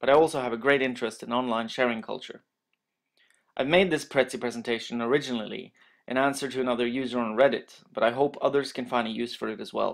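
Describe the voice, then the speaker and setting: A man with a Norwegian accent talks very fast at a medium pitch with fairly even intonation. The recording is very clean, with a silent background. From Norway. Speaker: master's student. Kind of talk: educational presentation voiceover.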